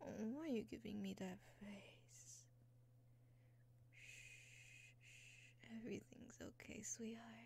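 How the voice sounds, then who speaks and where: Soft-spoken and soothing, at a very slow pace, in a dry sound with no echo. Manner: soft, hushed, soothing ASMR voice. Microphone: studio mic.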